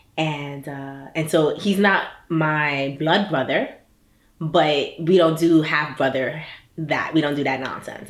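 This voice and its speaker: A woman talks with a New York accent. Her intonation stays fairly even, with audible room echo. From US Northeast, Brooklyn New York. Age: 30s. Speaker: startup founder. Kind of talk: personal interview monologue. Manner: casual, with many fillers.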